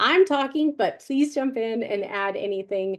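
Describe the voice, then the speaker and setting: The speaker is a woman with a plain, everyday voice and a fairly high pitch. Her intonation is lively over a quiet background. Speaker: webinar presenter. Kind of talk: webinar presentation.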